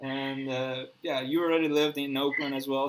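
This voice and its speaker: Against noticeable background noise, a man with a Spanish accent speaks at a fairly high pitch and a moderate pace, his intonation fairly even. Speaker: live show host. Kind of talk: live online interview. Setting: live video stream. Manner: halting, many false starts.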